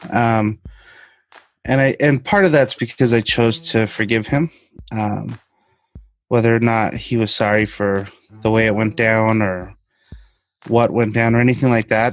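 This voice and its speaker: Pausing long and often, a man at medium pitch talks at a fairly slow pace with fairly even intonation. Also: very even loudness. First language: Spanish. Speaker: interviewee sharing personal story. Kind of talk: interview.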